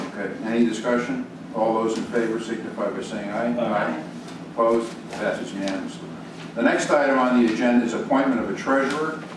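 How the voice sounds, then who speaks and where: With audible room echo and noticeable background noise, a man speaks at a very fast pace with fairly even intonation. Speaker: board chair running a town meeting. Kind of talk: public meeting. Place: meeting room.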